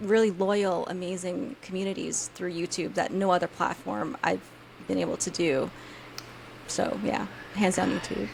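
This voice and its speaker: Intonation is lively as a woman speaks at a moderate pace. Noticeable background noise is heard. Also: medium pitch for a woman. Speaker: soap maker and YouTube creator. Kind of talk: casual interview chat. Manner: stutters, halting.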